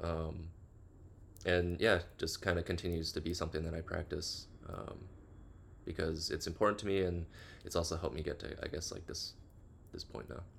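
With an American accent, a man speaks at a moderate pace in a very deep, low, somewhat breathy voice, keeping his intonation fairly even and leaving long, frequent pauses. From US Midwest, Chicago. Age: 30s. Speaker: photographer and NFT artist. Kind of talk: casual interview.

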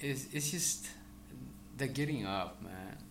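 The man's fairly high voice has a bright, sharp tone, with audible room echo around it. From El Salvador. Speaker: real estate broker. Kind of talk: casual interview.

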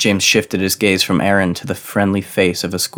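Someone is reading aloud in a natural voice.

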